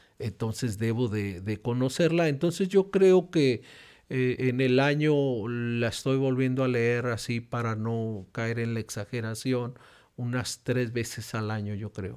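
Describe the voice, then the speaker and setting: Over a very clean recording with a silent background, a man speaks fairly slowly at a medium pitch with ordinary pitch variation. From Mexico. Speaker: pastor and regional church presbyter. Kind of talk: interview testimony. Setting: church.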